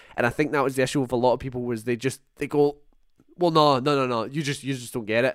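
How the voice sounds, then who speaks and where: A very fast-talking man with a Scottish accent, medium-pitched, with fairly even intonation. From Scotland. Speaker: podcast host. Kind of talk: casual chat.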